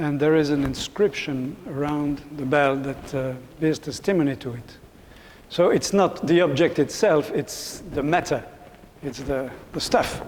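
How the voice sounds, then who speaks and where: A fairly high-pitched man with a French accent. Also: ordinary pitch variation, fairly slow pace. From Belgium. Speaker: philosophy professor. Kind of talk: Q&A answer after a lecture. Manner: halting.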